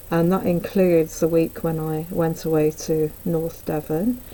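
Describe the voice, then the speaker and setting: Her pace is fairly slow. This woman's pitch is fairly low, with monotone, flat intonation. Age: 60s. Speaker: amateur cyclist and vlogger. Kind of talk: casual talk to camera. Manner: hesitant, conversational.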